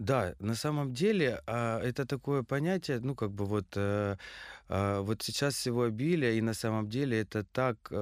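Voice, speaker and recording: A man uses an ordinary speaking voice at a medium pitch with ordinary pitch variation. He goes at a fairly slow pace, in a very clean recording with a silent background. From Krasnodar, southern Russia. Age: 30s. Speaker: stylist and fashion designer. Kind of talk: casual interview.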